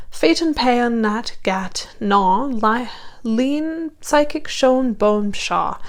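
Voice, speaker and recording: Lively intonation in a woman's high-pitched voice. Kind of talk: poetry reading.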